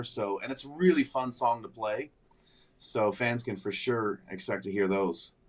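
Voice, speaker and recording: A man's voice sits at a medium pitch and moves at a moderate pace. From Ottawa Valley, Ontario, Canada. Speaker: country singer. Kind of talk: radio interview. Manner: hesitant, with fillers.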